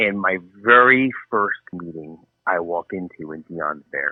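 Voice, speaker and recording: A man speaks with a New Jersey accent. His pitch is very deep and low, with ordinary variation. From New Jersey, US. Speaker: author. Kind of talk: interview. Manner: animated.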